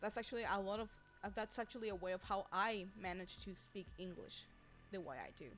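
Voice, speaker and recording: This woman speaks with a Spanish accent at a fairly quick pace. Her pitch sits in the medium range, with ordinary variation. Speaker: vtuber streamer. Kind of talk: casual chat. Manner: halting.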